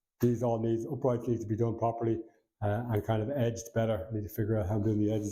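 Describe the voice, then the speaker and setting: In a Dublin accent, the speaker mumbles at a very fast pace in a somewhat breathy voice with a dark, mellow tone. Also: man. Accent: Dublin Irish. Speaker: vlogger, house renovator. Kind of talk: casual vlog talk to camera. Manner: mumbling.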